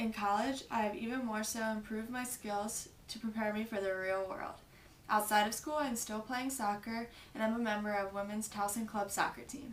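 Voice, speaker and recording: A woman speaks at a moderate pace with a fairly high pitch and fairly even intonation. The room echo is audible and there is noticeable background noise. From New Jersey (Westmont). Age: 20s. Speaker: college student. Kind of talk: application video monologue. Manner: formal.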